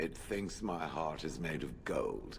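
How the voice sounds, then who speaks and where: Putting on a character voice, a man talks fairly slowly as clear background noise carries on. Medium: video game. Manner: flat, grave.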